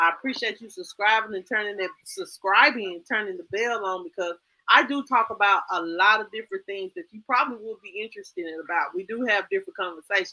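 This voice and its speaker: A woman talks at a fairly quick pace with fairly high pitch and lively intonation. Her tone is bright and sharp, in a dry, close sound with no echo. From northern Mississippi. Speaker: YouTube host. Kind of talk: casual chat.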